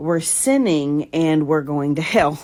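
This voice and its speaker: Very slow speech, recorded very cleanly with the background silent. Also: woman. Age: 40s. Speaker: podcaster sharing personal story. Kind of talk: personal testimony monologue. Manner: halting, many fillers.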